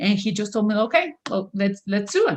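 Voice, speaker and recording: A woman with a Spanish accent sounds somewhat breathy. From Venezuela. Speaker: author. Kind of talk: interview.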